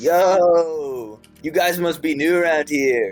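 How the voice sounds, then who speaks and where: A croaky, put-on character voice speaks at a very slow pace. Faint music plays in the background. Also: man, fairly high pitch for a man. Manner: slick, laid back, alert.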